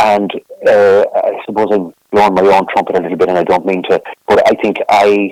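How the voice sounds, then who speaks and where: A man speaks with an Irish midlands accent. His pace is moderate. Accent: Irish (Roscommon). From Ireland, County Roscommon. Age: 60s. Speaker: folk singer-songwriter. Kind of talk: interview. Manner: halting, many repetitions.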